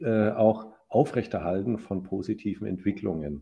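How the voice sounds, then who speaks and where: Here a man speaks fairly slowly in a fairly low, dark, mellow voice with vocal fry. His intonation is lively. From Franconia, Germany (Ansbach). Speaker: professor, psychologist and architect. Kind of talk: interview conversation.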